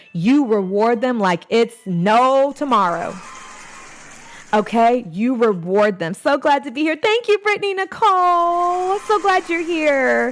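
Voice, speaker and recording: A loud, animated woman's voice, high-pitched, with very wide pitch swings, a fairly slow pace, and noticeable background noise. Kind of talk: live stream teaching session.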